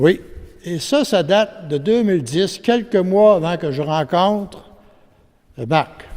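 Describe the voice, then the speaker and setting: Speaking at a very slow pace, a man uses a high-pitched voice. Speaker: witness giving testimony. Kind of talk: testimony; reading aloud.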